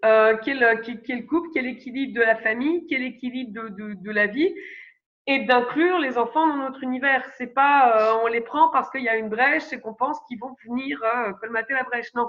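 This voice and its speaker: Speaking at a fairly quick pace, a woman with a high pitch and ordinary pitch variation shows big swings in loudness. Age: 30s. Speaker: astro-psychologist and parenting coach. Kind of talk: podcast interview. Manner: hesitant, many fillers.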